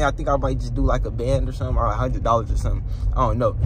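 The man's voice comes through with a dry sound and no echo, over noticeable background noise. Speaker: vlogger. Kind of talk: casual vlog chat. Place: car. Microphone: phone near.

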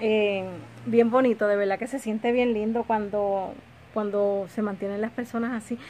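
A woman's fairly high voice, dark and mellow in tone, stays flat and monotone over light background noise. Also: moderate pace. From Puerto Rico. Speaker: lifestyle vlogger. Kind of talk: casual home vlog. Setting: home kitchen. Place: home room. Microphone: phone near.

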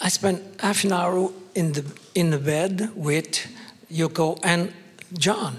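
With a French Canadian accent, a man of high pitch speaks at a very slow pace with long, frequent pauses and fairly even intonation. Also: very even loudness. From Quebec. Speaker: journalist; panelist, former journalist. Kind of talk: panel discussion storytelling. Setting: stage with audience. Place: hall. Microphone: handheld.

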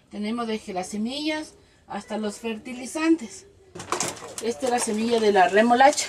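Against noticeable background noise, a woman with a fairly high pitch speaks at a moderate pace, with ordinary pitch variation, long, frequent pauses and big swings in loudness. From Ecuador, Manabí province. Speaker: small farmer, association member. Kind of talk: interview testimony.

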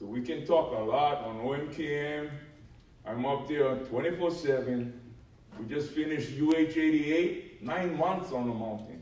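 With audible room echo around him, a man speaks at a very slow pace in a fairly high pitch with ordinary pitch variation. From Hawaii Island. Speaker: mountain management adviser, former union officer; panelist. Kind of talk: panel discussion. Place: hall. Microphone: camera far.

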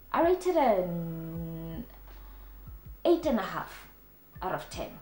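A woman speaks at a very slow pace with audible room echo and music in the background. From South Africa. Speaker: DIY home decor YouTuber. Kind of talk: casual talk to camera. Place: home room.

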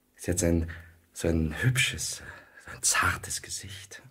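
A put-on character voice whispers. The pace is slow. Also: man.

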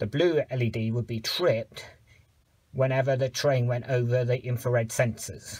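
Speaking at a moderate pace, a man sounds somewhat breathy. His pitch varies in an ordinary way. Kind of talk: tutorial. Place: garage. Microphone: phone near.

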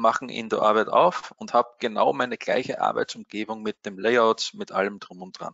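A man speaks at a moderate pace with an Austrian accent. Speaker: trading software support expert. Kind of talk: webinar tutorial.

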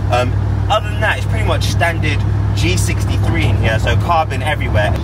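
The sound is dry with no echo. Loud background noise runs under a man's voice. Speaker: car reviewer. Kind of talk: casual car review vlog. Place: car. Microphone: phone near.

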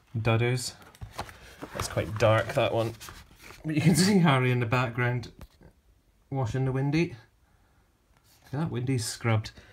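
The speaker talks at a moderate pace, leaving long, frequent pauses. Light background noise sits behind the voice. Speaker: book collector vlogger. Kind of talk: casual vlog chat. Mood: enthusiastic, slightly apologetic. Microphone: phone near.

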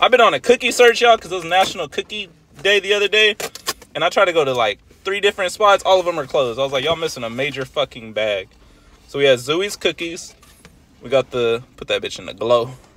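Speaking at a very fast pace, a man comes through in a dry sound with no echo. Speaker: food vlogger. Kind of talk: casual vlog chat. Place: car. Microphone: phone near.

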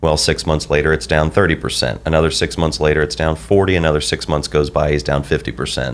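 Words tumble out very fast, the intonation staying fairly even. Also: man. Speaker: financial advisor. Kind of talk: radio show discussion. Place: office. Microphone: studio mic.

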